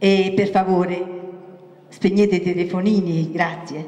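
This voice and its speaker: A woman speaks at a very slow pace amid audible room echo. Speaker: theatre group announcer. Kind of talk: formal announcement. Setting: stage with audience. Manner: formal. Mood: warm, welcoming. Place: stage. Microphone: handheld.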